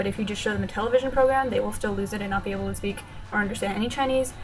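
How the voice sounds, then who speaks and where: With music in the background, a woman talks at a medium pitch. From Texas, USA. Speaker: linguistics student. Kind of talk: casual vlog talk to camera.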